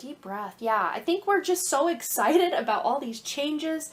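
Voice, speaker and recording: Her tone is animated. This woman's pitch swings very widely. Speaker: tarot reader. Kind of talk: tarot reading monologue. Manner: fast.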